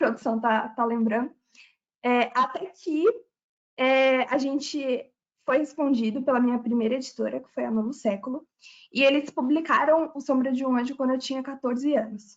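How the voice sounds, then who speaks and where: Fairly even in intonation, a woman with a high pitch speaks at a moderate pace. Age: 20s. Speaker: author. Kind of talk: live webinar talk.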